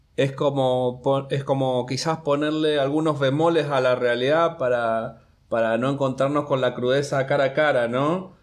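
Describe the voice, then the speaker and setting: A man's fairly high voice at a fairly slow pace, with very even loudness and fairly even intonation. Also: quiet background. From Entre Ríos, Argentina. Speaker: graphic artist; guest. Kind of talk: interview. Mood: relaxed, reflective. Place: studio. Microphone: studio mic.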